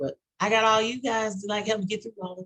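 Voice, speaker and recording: Somewhat breathy, a woman with an American accent speaks at a moderate pace. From Texas. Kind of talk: casual panel discussion.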